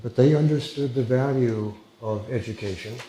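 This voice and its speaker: A man speaks with an American accent. Room echo is audible and background noise is noticeable. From United States. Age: 70s. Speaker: former FBI hostage negotiator, social work lecturer. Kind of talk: lecture. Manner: hesitant, many fillers; informal.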